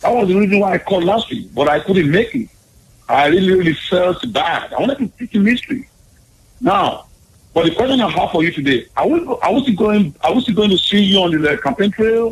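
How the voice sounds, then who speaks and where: With a Nigerian accent, a man talks at a fairly quick pace in a high pitch, his intonation lively. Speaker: caller. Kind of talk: call-in chat.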